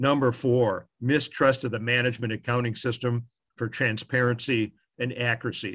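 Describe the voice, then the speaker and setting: In a very clean recording with a silent background, a man with an American accent speaks at medium pitch and a moderate pace in a monotone, flat intonation. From US Midwest, Chicago. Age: 70s. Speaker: management accounting advisor. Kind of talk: solo talk.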